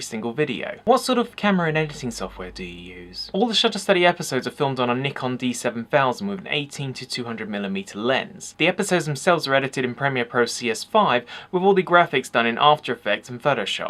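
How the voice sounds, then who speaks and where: In an English accent, a man rattles along at a very fast pace with hardly any pauses, his fairly high voice making very wide pitch swings and big swings in loudness. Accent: peculiar accent, English. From England. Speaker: photography channel host. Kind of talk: Q&A video, answering viewer questions.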